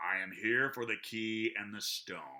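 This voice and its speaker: Growling in a put-on character voice, a man speaks at a medium pitch and a fairly slow pace. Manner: snarling.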